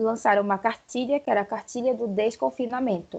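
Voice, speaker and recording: A woman talks at a moderate pace with fairly even intonation in a normal speaking voice. The background is quiet. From Brazil, Pará. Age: 20s. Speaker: journalist. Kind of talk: casual chat.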